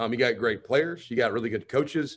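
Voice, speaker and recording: In a Southern US accent, a man talks at a very fast pace with ordinary pitch variation. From Alabama. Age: 30s. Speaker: college football head coach. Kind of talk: radio interview.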